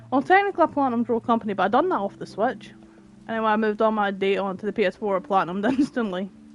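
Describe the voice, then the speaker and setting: A woman with a Scottish accent speaks at a very fast pace and a fairly high pitch, with ordinary pitch variation. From Scotland. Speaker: gaming streamer. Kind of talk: live game stream commentary. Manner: animated.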